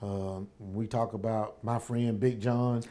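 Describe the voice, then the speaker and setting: A dark, mellow tone in a Southern US accent, with fairly even intonation. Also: man. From US South, Alabama (Tuscaloosa). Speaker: sheriff. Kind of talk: interview.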